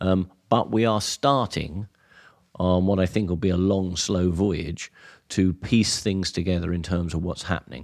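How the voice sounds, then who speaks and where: A man with a very deep, low pitch, ordinary pitch variation and a fairly slow pace, on a very clean recording with a silent background. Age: 60s. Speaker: physiology professor. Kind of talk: interview. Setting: staff room at a lido.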